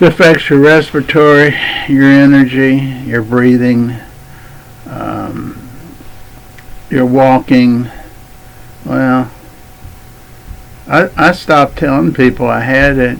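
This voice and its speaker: A man talks at a very slow pace with long, frequent pauses and fairly even intonation over noticeable background noise. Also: medium pitch for a man. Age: 70s. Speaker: vlogger. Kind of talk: casual chat. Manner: halting.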